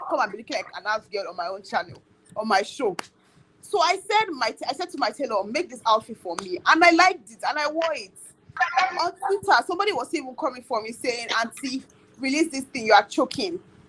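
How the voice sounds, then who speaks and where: A woman with a Nigerian accent talks at a fairly quick pace over noticeable background noise. Her loudness swings widely, and her pitch swings are very wide. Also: high pitch for a woman. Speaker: YouTuber. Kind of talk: casual chat. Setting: live stream. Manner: animated.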